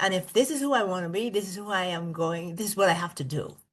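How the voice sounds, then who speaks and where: A woman speaks with lively intonation. Her pitch sits in the medium range. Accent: slight Bahamian. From Bahamas. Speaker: school district executive. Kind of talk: podcast interview.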